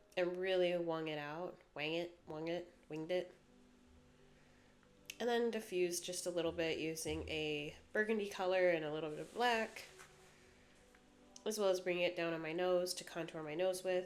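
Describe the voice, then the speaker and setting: A woman with a fairly low pitch, fairly even intonation and long, frequent pauses, with music in the background. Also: moderate pace. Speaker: makeup artist. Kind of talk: makeup tutorial voiceover. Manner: casual, chatty.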